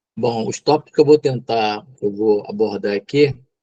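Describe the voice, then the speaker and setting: The man's dark, mellow voice sits at a medium pitch with fairly even intonation, and the sound is dry and close with no echo. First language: Tupi (speaking Portuguese). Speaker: psychologist and mental health lecturer. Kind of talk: lecture. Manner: hesitant, many fillers.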